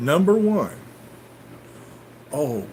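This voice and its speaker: A man speaks in a Southern US accent with very wide pitch swings. Audible room echo surrounds the voice. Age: 60s. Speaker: farmer and livestream host. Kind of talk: live stream chat answering viewer comments. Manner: casual, storytelling.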